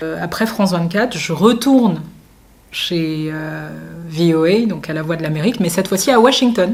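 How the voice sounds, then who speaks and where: A woman's fairly low voice with lively intonation at a moderate pace, audible room echo and noticeable background noise. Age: 30s. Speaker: journalist and entrepreneur. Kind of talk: interview. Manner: frequent filler hesitations.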